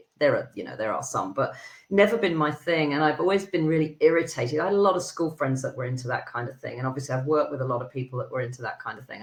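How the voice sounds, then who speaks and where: A woman with a British accent speaks at a very fast pace with hardly any pauses. Her very deep, low pitch carries lively intonation and big swings in loudness. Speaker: HR consultant. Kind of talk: podcast interview. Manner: animated.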